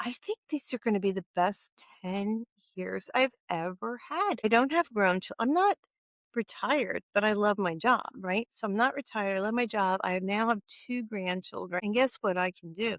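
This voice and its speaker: The pace is moderate. Pitch variation is ordinary. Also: woman, medium pitch for a woman. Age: 60s. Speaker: podcast guest sharing her health journey. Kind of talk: interview conversation. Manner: halting, with many restarts.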